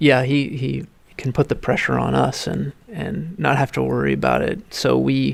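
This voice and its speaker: A man talks at a moderate pace. Behind him, background noise is noticeable. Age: 30s. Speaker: winemaker. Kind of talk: interview. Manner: halting, many fillers.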